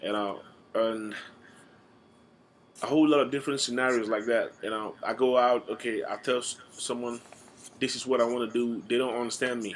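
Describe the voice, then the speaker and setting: A man of medium pitch at a fairly quick pace, broken by long, frequent pauses. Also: fairly even intonation. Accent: American. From Nigeria. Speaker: student. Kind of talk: class speech. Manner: halting, with repetitions and fillers.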